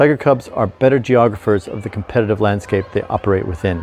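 A man's fairly low voice at a moderate pace with ordinary pitch variation, dry with no echo, over light background noise. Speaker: investment commentator. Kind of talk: commentary. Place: garden. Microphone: lapel.

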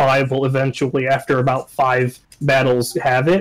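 At a very fast pace, a man talks in a fairly high voice. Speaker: gamer. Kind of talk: casual chat. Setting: video call.

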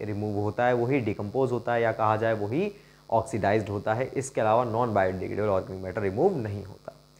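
He is a man speaking at a moderate pace. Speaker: teacher. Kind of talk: lecture. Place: classroom. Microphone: lapel.

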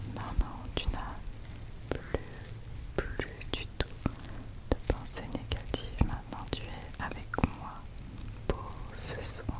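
A woman speaks at a very slow pace, leaving long, frequent pauses. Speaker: ASMR creator role-playing a spa therapist. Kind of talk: ASMR spa roleplay, soft personal attention. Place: home room. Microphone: studio mic.

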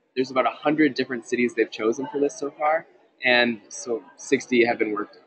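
A man's plain, everyday voice with an American accent, medium pitch, fairly even intonation and a fairly quick pace. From Minnesota. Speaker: student delegate. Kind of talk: casual report. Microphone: sketchy connection.

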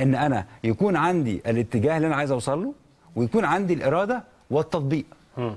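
A man's fairly high-pitched voice at a very fast pace, full of lively intonation. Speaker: psychologist or counselor. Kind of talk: TV talk show interview.

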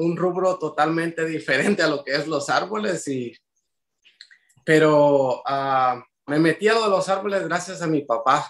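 A man's fairly high, fairly bright voice at a fairly slow pace, with ordinary pitch variation

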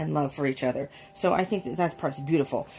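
A woman's somewhat breathy voice comes through over light background noise. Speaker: card reader. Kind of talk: casual reading commentary. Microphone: phone near.

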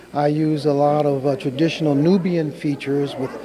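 A man with a fairly high voice talks at a moderate speed, noticeable noise audible behind him. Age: 60s. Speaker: sculptor. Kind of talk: interview at art show. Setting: art show in a church.

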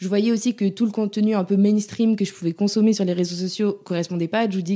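A woman talks at a very fast pace in a dark, mellow tone. Her intonation stays fairly even. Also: very clean recording, silent background. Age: 30s. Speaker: digital consultant and dog owner. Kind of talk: casual interview chat.

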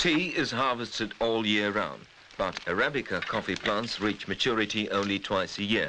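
An ordinary speaking voice from a man, fairly low in pitch, with ordinary pitch variation at a moderate pace. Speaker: documentary narrator. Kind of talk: 1980s documentary narration, scripted voice-over. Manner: measured, formal, steady; authoritative, travelogue-style delivery.

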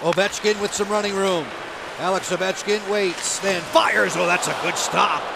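Over crowd noise in the background, a man talks at a moderate pace in a high pitch with an animated tone. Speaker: hockey play-by-play announcer. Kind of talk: live commentary. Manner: animated, rising intensity on shots and saves.

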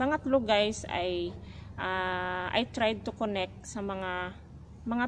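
Over light background noise, a woman speaks at a very slow pace with fairly even intonation. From Philippines. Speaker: domestic helper vlogger. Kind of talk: casual vlog talk. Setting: outdoors. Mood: calm, advising. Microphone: phone near.

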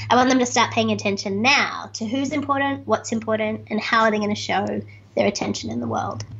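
A woman with an Australian accent talks at a fairly quick pace. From Australia, Sydney. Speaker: speaker and author; podcast guest. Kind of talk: interview. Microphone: webcam.

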